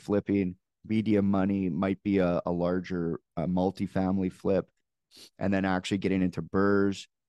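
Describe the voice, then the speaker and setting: A man with a Canadian accent speaks in a very deep, low voice with a dark, mellow tone, flat monotone intonation and very even loudness, recorded dry and close with no echo against a quiet background. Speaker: real estate investor. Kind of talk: interview.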